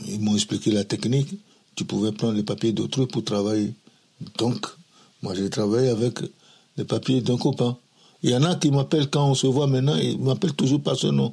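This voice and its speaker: A man with a medium pitch speaks at a moderate pace, somewhat breathy, with lively intonation. He takes long, frequent pauses. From Togo, Lomé. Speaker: immigrant father recounting his life. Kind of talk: life story interview. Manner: halting, repetitive.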